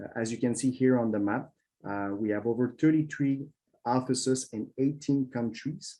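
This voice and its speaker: In a Quebec accent, a man talks at a moderate pace and medium pitch, his tone dark and mellow, with ordinary pitch variation. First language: French. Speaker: government trade official. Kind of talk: webinar presentation. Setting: online webinar. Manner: halting with many fillers.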